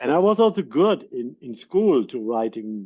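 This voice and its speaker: The speaker is a man with a German accent. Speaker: podcast host and producer. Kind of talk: casual interview chat. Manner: halting, repeats words.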